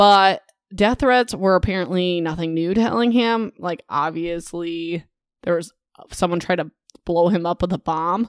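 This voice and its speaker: An ordinary speaking voice at a moderate pace with ordinary pitch variation, in a very clean recording with a silent background and a dry, close sound with no echo. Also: woman. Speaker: podcast host, book reviewer / reader. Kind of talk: casual humorous book recap podcast. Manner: sarcastic, jokey, conversational.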